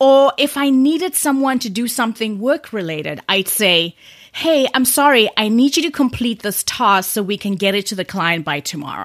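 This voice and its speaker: A woman's fairly high voice at a moderate pace, with very wide pitch swings and hardly any pauses. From South Africa. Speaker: podcast host, communication coach. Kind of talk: solo podcast talk, tips.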